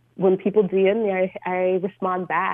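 Here a woman speaks with an American accent at a medium pitch. Her pace is fairly slow. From US South, Georgia. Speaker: adventurer and photographer. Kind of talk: radio interview. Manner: hesitant, filler-heavy.

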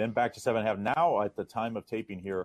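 A man's plain, everyday voice, fairly low in pitch, at a fairly quick pace with fairly even intonation. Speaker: sports handicapper. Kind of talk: sports betting picks discussion. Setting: radio show segment.

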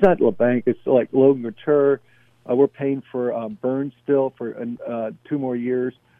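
In a plain, everyday voice, the speaker talks at a fairly slow pace with ordinary pitch variation. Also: man, medium pitch for a man. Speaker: caller. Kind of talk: casual chat. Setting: phone call.

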